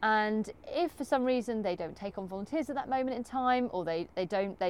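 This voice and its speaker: At a fairly quick pace, a woman talks in an ordinary speaking voice. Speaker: co-host and community engagement ranger. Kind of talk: interview for a podcast.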